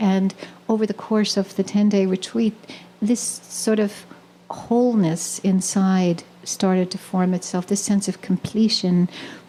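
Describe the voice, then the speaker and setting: A woman speaks fairly slowly at a medium pitch, her intonation fairly even and her loudness very even. Noticeable background noise runs underneath. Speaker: poet, spiritual teacher. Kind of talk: spoken talk at a live poetry reading. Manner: hesitant, reflective, many filler words.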